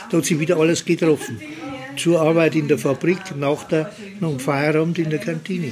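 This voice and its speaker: High-pitched male voice at a moderate pace, ordinary pitch variation, and noticeable background noise. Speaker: former glassworks neighbourhood resident. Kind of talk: reminiscing at regulars' table. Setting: pub. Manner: halting, repetitive.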